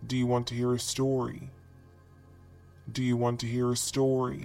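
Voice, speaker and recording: A man's put-on character voice at a medium pitch, with music playing in the background. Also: moderate pace. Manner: taunting, eerie.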